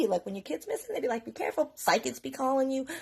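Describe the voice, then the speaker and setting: In an animated tone, a woman talks at a very fast pace with very wide pitch swings and a somewhat breathy sound. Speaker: mother telling her story on social media. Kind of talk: story time monologue.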